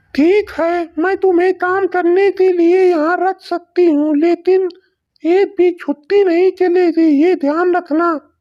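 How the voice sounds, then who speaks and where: In a cartoonish character voice, a woman speaks at an extremely high pitch, at a fairly slow pace and in a monotone, flat intonation. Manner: scornful, bossy.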